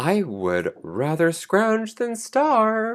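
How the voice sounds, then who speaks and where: A put-on character voice on a very clean recording with a silent background. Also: man. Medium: read story. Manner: urgent, eager.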